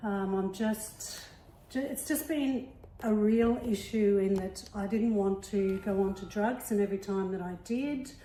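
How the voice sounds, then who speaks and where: A woman in an Australian accent, medium pitch, ordinary pitch variation, fairly slow pace, and audible room echo. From Melbourne, Australia. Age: 60s. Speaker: retiree and CrossFit athlete. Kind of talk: casual interview.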